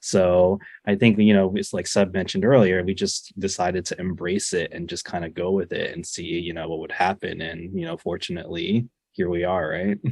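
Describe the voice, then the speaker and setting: At a fairly quick pace, a man speaks in a very deep, low pitch with monotone, flat intonation. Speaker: filmmaker. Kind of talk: interview chat.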